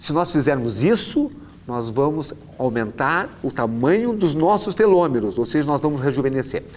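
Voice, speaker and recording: A man at a fairly high pitch with very wide pitch swings, moderate pace, and audible room echo. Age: 60s. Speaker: orthopedic doctor. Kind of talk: lecture.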